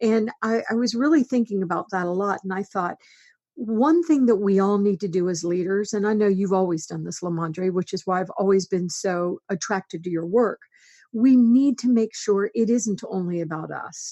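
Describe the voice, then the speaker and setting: A woman with a normal speaking voice talks at medium pitch and a moderate speed, her pitch varying in an ordinary way. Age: 60s. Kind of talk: interview.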